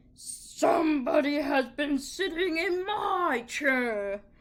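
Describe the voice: In a put-on character voice, the speaker uses a high pitch and talks at a very slow pace.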